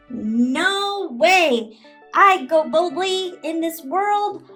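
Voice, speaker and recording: A cartoonish character voice moves at a very slow pace over faint music in the background. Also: woman, extremely high pitch for a woman. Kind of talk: children's puppet show Bible lesson. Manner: upbeat, encouraging.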